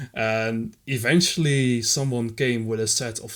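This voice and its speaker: A man with a Dutch accent. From Netherlands. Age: 20s. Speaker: retro gaming community volunteer. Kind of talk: podcast interview.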